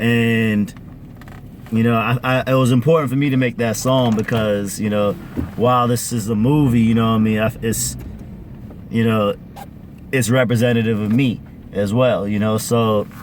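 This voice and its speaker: With noticeable background noise behind him, a man at medium pitch speaks at a moderate pace, with long, frequent pauses, fairly even intonation and very even loudness. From Caribbean family, parents from Grenada. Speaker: musician. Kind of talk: casual interview chat. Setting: in a car.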